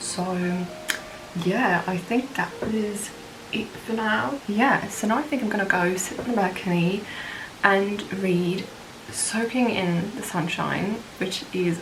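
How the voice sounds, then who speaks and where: Fairly slow speech from a woman at medium pitch with ordinary pitch variation, amid noticeable background noise and audible room echo. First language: French. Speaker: book vlogger. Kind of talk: casual vlog talk.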